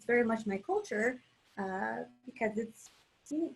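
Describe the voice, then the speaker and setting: Her fairly high, somewhat breathy voice carries lively intonation as this woman speaks. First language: Spanish. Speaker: artist. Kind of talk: casual chat.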